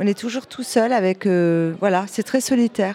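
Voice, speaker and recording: A woman's fairly high voice with ordinary pitch variation, dry and close with no echo, over noticeable background noise. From Normandy, France (Calvados, near Caen). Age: 50s. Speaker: visual artist and photographer. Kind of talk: interview.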